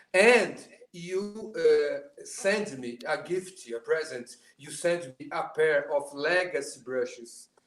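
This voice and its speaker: A man's high voice with a Portuguese accent, very slow in pace, with ordinary pitch variation. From Brazil. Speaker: drummer. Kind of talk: casual chat. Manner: halting.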